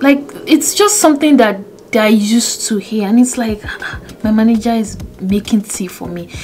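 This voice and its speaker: This woman talks at a moderate pace with ordinary pitch variation, and noticeable noise is audible in the background. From Nigeria, Yoruba. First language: Yoruba. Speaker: YouTuber. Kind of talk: casual vlog monologue. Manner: conversational, self-correcting.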